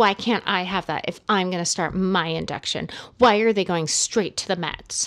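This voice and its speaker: Putting on a whiny character voice, a woman speaks at a medium pitch and a moderate pace. Her intonation is fairly even, and the recording is very clean with a silent background. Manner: whining, complaining.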